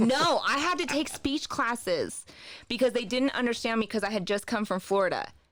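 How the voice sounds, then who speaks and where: With a slight Southern US accent, a woman talks at a fairly quick pace in a high pitch, her intonation lively and her loudness very even. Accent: slight Southern accent, stronger when relaxed. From US East and South, military family. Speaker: wellness journal creator. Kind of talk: podcast interview.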